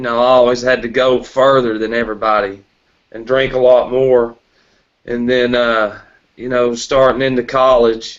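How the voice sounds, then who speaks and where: A man speaks with a Tennessee accent at a moderate pace. His intonation is monotone and flat. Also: medium pitch for a man. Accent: Southern US (Tennessee). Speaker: recovering alcoholic sharing his story. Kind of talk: testimony.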